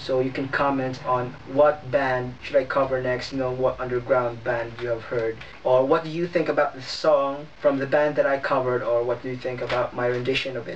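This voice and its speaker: A man's monotone, flat voice with hardly any pauses, against noticeable background noise. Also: medium pitch for a man, moderate pace. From Philippines. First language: not English. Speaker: YouTuber, cover singer. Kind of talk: vlog channel introduction, partly read from notes. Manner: casual, filler-heavy.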